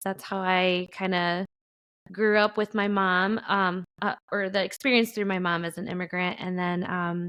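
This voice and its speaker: Against a quiet background, a woman talks in a Spanish accent. Her pitch is medium with ordinary variation, at a moderate pace. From Chicago, US. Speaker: writer and editor. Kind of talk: personal storytelling interview. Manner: halting, many fillers.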